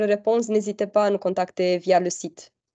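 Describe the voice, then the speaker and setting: A woman with a fairly high pitch. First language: not French (speaking French). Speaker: webinar presenter for a development fund. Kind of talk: online information webinar Q&A. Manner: halting.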